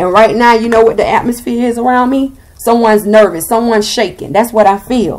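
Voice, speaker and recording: A woman with a slight Southern US accent, fairly high-pitched and fairly quick, with ordinary pitch variation. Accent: slightly country Southern. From US South. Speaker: tarot reader. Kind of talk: tarot reading. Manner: animated.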